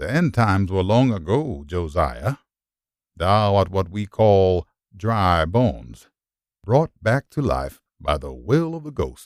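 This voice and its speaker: A man puts on a character voice, pitched fairly low with very wide pitch swings, and speaks at a fairly slow pace. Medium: read story. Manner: archaic, solemn.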